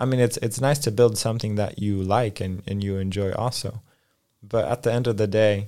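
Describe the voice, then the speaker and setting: A man's fairly low, dark, mellow voice in an American accent, with fairly even intonation, on a very clean recording with a silent background. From US West Coast (Los Angeles, California). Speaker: coworking space co-founder. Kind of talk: interview conversation. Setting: studio.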